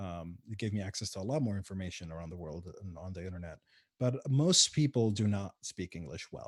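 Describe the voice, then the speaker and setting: With an Arabic accent, a fairly low-pitched man speaks at a fairly quick pace with ordinary pitch variation and big swings in loudness. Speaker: game developer and community organizer. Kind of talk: casual interview. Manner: hesitant, many fillers.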